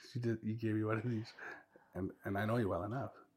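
Speaking very fast, a man uses fairly even intonation in a somewhat breathy voice. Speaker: former teacher. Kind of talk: casual chat.

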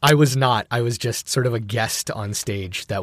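A somewhat breathy man speaks at a moderate pace with ordinary pitch variation. The recording is very clean, with a silent background. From Filipino heritage, grew up in Filipino culture. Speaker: theater performer. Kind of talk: casual chat. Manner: hesitant, many fillers.

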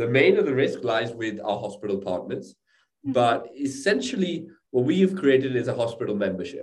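Somewhat breathy and at a medium pitch, a man talks at a moderate pace with audible room echo. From England. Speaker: startup co-founder. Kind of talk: interview.

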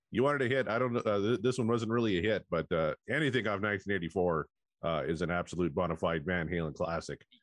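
A husky man with fairly low pitch and very even loudness at a very fast pace, dry and close with no echo, against a quiet background. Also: lively intonation. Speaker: podcast co-host.

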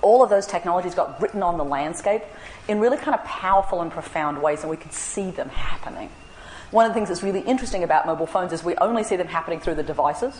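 A woman with an Australian accent talks at a very fast pace against noticeable background noise. Her pitch is medium, with ordinary variation. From Australia (central and northern). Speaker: anthropologist. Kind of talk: public lecture.

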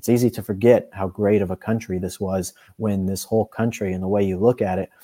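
In a dark, mellow tone, a man speaks fairly quickly at a fairly low pitch with monotone, flat intonation. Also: dry, close sound with no echo. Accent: American. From Colorado, US. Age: 20s. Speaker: editor and political commentator. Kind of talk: podcast interview.

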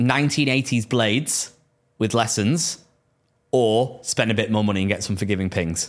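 A man with a Lancashire accent at medium pitch, with ordinary pitch variation, a fairly slow pace, very even loudness, and a very clean recording with a silent background. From northern England, Preston. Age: 20s. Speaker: golf podcast co-host. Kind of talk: casual chat.

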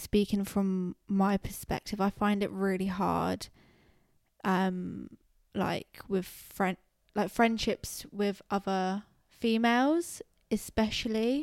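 A woman with a British accent at medium pitch and a very slow pace, with fairly even intonation and a dry, close sound with no echo. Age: 20s. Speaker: podcast co-host. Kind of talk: casual chat.

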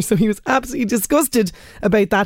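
Lively in intonation, a woman with an Irish accent speaks at a very fast pace. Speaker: radio host. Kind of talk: radio show presenting. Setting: studio.

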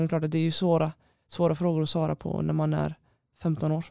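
In a very clean recording with a silent background, a woman speaks at a very deep, low pitch in a dark, mellow tone. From Sweden, Stenungsund (west coast). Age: 20s. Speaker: handball player, team captain. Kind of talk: interview. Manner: hesitant, many fillers.

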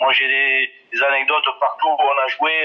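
A man speaks. Noticeable background noise runs underneath. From southwest France, Ariège. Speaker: former rugby player and coach. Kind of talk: interview. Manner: halting, many hesitations.

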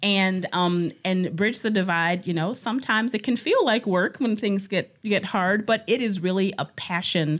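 In a normal speaking voice, a woman with an American accent talks at a moderate pace with hardly any pauses, medium pitch, ordinary pitch variation and very even loudness, on a very clean recording with a silent background. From Ohio, Cleveland. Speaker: nurse and community organizer. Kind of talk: interview conversation.

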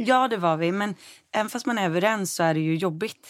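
On a very clean recording with a silent background and a dry, close sound with no echo, a woman with an ordinary speaking voice talks at a fairly quick pace with ordinary pitch variation. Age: 20s. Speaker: lifestyle blogger and editor. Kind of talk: casual interview chat.

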